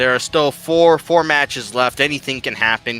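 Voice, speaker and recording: Music plays in the background as a man talks. His pitch is fairly high, with ordinary variation. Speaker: wrestling commentator. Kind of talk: sports commentary, casual analysis.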